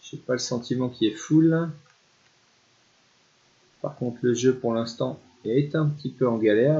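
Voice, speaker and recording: A man with a medium pitch speaks at a fairly slow pace with ordinary pitch variation. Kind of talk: casual gameplay commentary.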